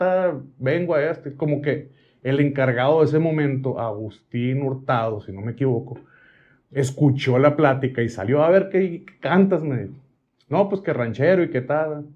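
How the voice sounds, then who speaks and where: Lively intonation against a quiet background. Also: man. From Mexico, Sonora (Hermosillo); Sonora. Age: 40s. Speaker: cooking content creator. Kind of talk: casual interview chat. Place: studio.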